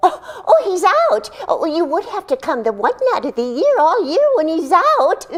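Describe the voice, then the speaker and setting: A put-on character voice, female-sounding, at an extremely high pitch with very wide pitch swings and a moderate pace. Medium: stage play. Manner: chatty, giggly.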